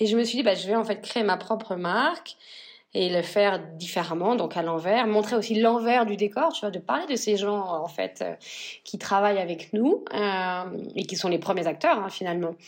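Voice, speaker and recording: The recording is very clean, with a silent background. A woman talks at a moderate pace and medium pitch, with ordinary pitch variation. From northern France. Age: 40s. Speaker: fashion brand founder. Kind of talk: interview. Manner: halting.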